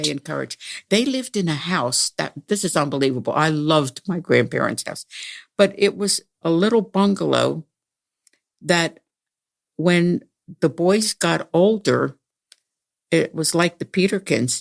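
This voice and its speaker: Speaking at a moderate pace, a woman has a fairly low pitch and vocal fry. She talks in a Pennsylvania accent, with a dry, close sound with no echo. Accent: Pennsylvania American. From Pennsylvania, USA. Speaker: retired musician. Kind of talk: interview answer.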